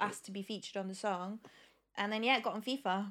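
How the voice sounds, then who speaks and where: A woman at medium pitch talking at a very fast pace, on a very clean recording with a silent background. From Leicester, England. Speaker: singer-songwriter. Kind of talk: casual podcast interview.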